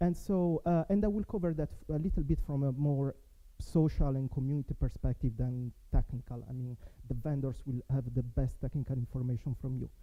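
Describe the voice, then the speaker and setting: A man with an Italian accent talks at a fairly quick pace. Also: medium pitch for a man, ordinary pitch variation. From Italy. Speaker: network software developer, conference speaker. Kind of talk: conference talk. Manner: halting, many fillers.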